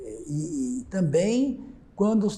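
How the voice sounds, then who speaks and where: A man talks with a dark, mellow tone. His pitch swings very widely. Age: 70s. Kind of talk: oral history testimony. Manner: halting, with frequent repetitions.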